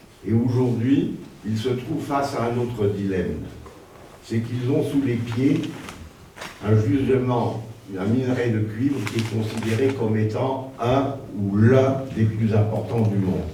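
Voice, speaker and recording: Speaking at a fairly slow pace with long, frequent pauses, a man is heard amid audible room echo and noticeable background noise. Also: medium pitch for a man. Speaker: lecturer. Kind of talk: lecture.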